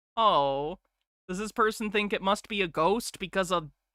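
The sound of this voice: Over a quiet background, someone reads in an unforced reading voice.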